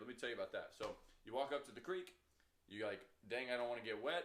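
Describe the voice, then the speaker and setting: Through audible room echo, a man at medium pitch talks at a very fast pace. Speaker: real estate trainer. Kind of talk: training lecture. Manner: animated.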